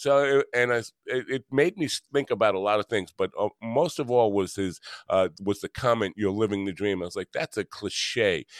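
A man with a New York accent at medium pitch, moderate pace, hardly any pauses and ordinary pitch variation, on a very clean recording with a silent background. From Long Island, New York. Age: 60s. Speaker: podcast host and musician. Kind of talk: interview.

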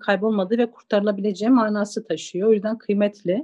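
A woman talks very fast in an Eastern Anatolian accent, at a fairly high pitch. Her tone is dark and mellow, and her intonation is monotone and flat. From Zaza-speaking village in eastern Turkey. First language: Zazaki (speaking Turkish). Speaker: interviewee on minority languages. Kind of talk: storytelling; interview.

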